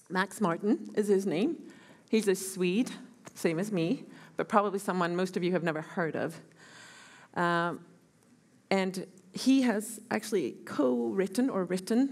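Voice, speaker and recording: This woman talks at a fairly slow pace with ordinary pitch variation, leaving long, frequent pauses. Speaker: guest lecturer. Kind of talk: lecture. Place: hall. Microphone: headset.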